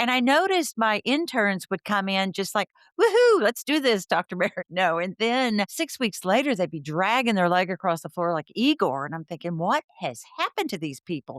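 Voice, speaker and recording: With a Texan accent, a woman speaks at a moderate pace and medium pitch with very wide pitch swings, the sound dry and close with no echo. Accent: Texan American. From Texas, Fort Worth. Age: 60s. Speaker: counselor and educator. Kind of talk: interview.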